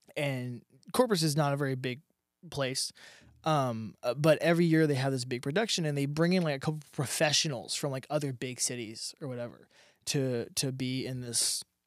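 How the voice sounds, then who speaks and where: In an unremarkable speaking voice, a man with an American accent and a fairly high pitch speaks at a moderate pace on a very clean recording with a silent background. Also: ordinary pitch variation. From South Texas. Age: 20s. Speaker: professional MMA fighter. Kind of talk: casual interview.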